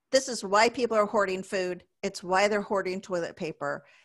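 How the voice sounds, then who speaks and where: A woman's normal speaking voice at medium pitch and moderate pace, over a quiet background. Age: 50s. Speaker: business speaker. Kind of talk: webinar presentation.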